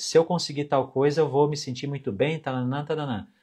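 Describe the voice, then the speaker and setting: Somewhat breathy, a man's fairly high voice comes through over a quiet background. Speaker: finance educator and mentor. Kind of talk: live stream talk. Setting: live stream. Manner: animated.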